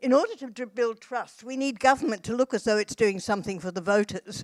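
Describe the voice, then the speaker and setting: A fairly quick Australian accent in dry, close sound with no echo. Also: woman. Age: 80s+. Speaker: social policy academic and activist. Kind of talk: conference panel discussion.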